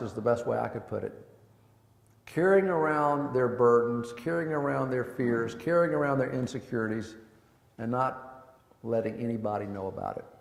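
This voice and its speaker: A man talks at a moderate pace, and audible room echo hangs around his words. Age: 60s. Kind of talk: talk to a men's group. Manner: conversational.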